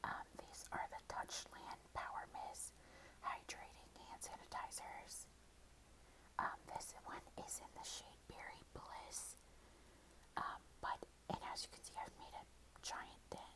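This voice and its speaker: Whispering, a woman speaks at a very slow pace. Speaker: ASMR creator. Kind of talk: casual ASMR favorites ramble. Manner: whispered.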